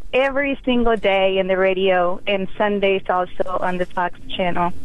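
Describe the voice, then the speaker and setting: With a Spanish accent, a woman speaks at a medium pitch over noticeable background noise. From Mexico. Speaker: caller. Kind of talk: call-in radio talk. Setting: phone call. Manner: halting.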